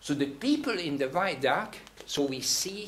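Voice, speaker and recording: A man with a Hungarian accent talks at a moderate pace with lively intonation. Noticeable background noise and audible room echo surround him. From Hungary. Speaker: theatre director. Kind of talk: guest talk. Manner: halting.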